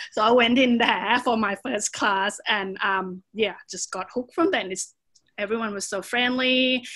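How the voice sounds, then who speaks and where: With a Thai accent, a woman talks at a fairly slow pace in a fairly high pitch, her tone bright and sharp, her pitch variation ordinary, on a very clean recording with a silent background. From Thailand, Bangkok. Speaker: Muay Thai fighter and personal trainer. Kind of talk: podcast interview.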